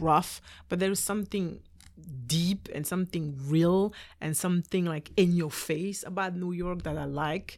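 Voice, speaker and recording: In a French accent, a woman speaks fairly slowly at a fairly low pitch with ordinary pitch variation. The recording is very clean, with a silent background. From Belgium. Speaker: dancer and dance teacher. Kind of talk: casual interview chat.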